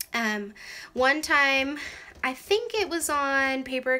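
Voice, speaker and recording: The voice has a bright, sharp tone and a Canadian accent. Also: woman. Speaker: craft vlogger. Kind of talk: casual vlog tour. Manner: chatty, many fillers.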